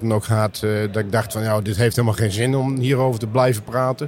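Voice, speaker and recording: A man's normal speaking voice at a fairly quick pace, with ordinary pitch variation. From Netherlands, Meppel (Drenthe). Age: 60s. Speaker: business developer in construction. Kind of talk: interview.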